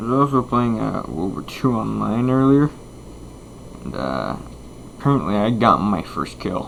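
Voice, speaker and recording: Noticeable background noise sits behind a man speaking at a moderate pace with lively intonation. His speech has long, frequent pauses. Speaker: gaming YouTuber. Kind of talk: gameplay commentary. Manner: casual, hesitant with fillers.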